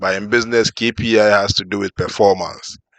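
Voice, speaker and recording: A man speaks in a flat, monotone way, with a dry, close sound and no echo. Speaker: reaction video commentator. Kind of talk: casual commentary.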